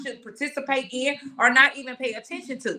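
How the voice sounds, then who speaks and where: A woman speaks at a fairly quick pace in a high, bright and sharp voice, raised and projected, with an animated tone. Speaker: podcast host. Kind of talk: casual discussion. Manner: loud.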